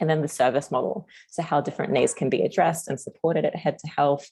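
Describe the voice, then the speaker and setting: Fairly quick speech in an Australian accent. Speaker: community services co-design practitioner. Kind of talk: presentation at online forum. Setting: online meeting. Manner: fast.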